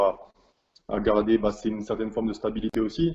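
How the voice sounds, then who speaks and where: A man's fairly low voice at a fairly quick pace. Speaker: professional basketball player. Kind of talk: interview. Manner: halting, many repetitions and fillers.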